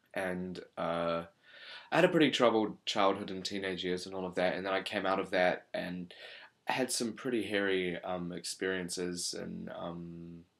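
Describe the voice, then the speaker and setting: Recorded very cleanly against a silent background, a man with a New Zealand accent speaks at a moderate pace in a very deep, low voice with fairly even intonation. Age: 20s. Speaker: channel presenter. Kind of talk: casual monologue to camera. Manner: hesitant, many fillers.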